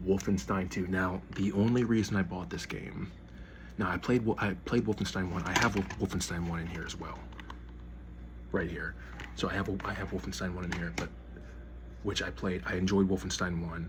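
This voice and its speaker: Through noticeable background noise and audible room echo, a man with a very deep, low pitch talks at a moderate pace. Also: lively intonation. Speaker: gaming YouTuber. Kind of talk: casual collection showcase. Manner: halting, repeated words.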